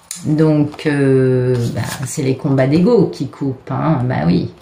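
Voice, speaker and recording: Noticeable background noise behind a woman talking very slowly. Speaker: tarot card reader. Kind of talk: tarot reading monologue. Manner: hesitant, many fillers.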